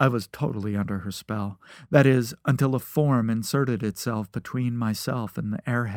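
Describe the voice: What we hear is plain reading aloud.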